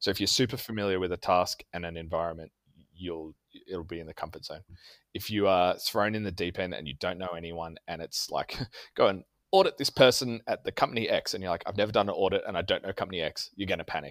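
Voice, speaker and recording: With a very deep, low pitch and an Australian accent, a man speaks very fast with ordinary pitch variation and big swings in loudness, his dry, close sound free of echo on a very clean recording with a silent background. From Australia, Canberra. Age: 30s. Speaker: tabletop gamer. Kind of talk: casual chat.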